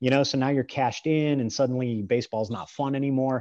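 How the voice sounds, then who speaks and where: A man with a Midwestern American accent, medium pitch and a dark, mellow tone, speaking at a fairly quick pace with fairly even intonation against a quiet background. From US Midwest, small-town northeast Ohio. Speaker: strength and grip coach. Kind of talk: casual interview chat.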